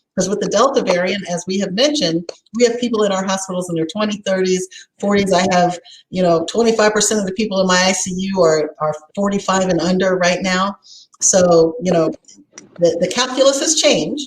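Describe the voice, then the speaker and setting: A woman talks at a fairly quick pace. Her pitch is medium. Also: ordinary pitch variation. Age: 60s. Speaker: physician. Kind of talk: panel discussion. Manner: hesitant with many fillers.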